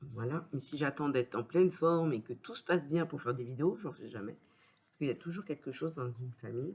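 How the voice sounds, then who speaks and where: This woman's pitch is very deep and low, and she sounds somewhat breathy. She speaks at a moderate pace. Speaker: papercraft youtuber. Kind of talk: product unboxing review. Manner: hesitant, many fillers.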